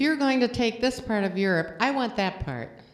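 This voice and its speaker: A woman's fairly high voice moves at a moderate pace with lively intonation. There is audible room echo. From Estonia. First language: Estonian. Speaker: guest preacher. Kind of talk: sermon. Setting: church.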